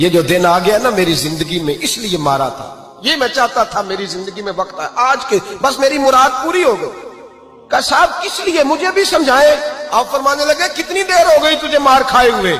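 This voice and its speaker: Noticeable background noise runs under this clip. A man speaks at an extremely high pitch, with very wide pitch swings. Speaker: Islamic preacher. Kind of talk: religious sermon (bayan) telling a moral story.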